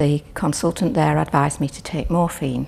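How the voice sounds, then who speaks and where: Through noticeable background noise, a woman speaks in a very deep, low pitch. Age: 70s. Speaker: patient. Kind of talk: testimony. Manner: halting.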